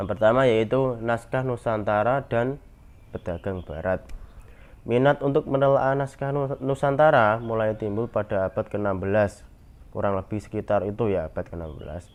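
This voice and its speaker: A man with a Javanese accent talks at a medium pitch. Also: ordinary pitch variation, moderate pace. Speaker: university student presenter. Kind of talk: class presentation. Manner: hesitant, with fillers.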